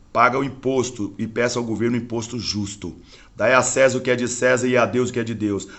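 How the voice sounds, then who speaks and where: A man with an unremarkable speaking voice at a medium pitch and fairly even intonation. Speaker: religious internet broadcaster. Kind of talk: preaching livestream monologue.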